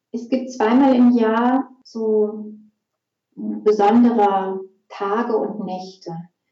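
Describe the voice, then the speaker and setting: A woman's fairly high, calm voice at a very slow pace, with fairly even intonation and long, frequent pauses. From Germany, Essen (Ruhr area). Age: 40s. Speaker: women's archetype coach. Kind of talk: interview; guided meditation. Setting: studio. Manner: slow, calm.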